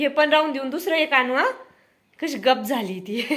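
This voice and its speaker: A bright, sharp tone marks this raised, projected voice. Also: woman. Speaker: vlogger and mother. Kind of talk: casual vlog chat. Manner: baby talk to infant.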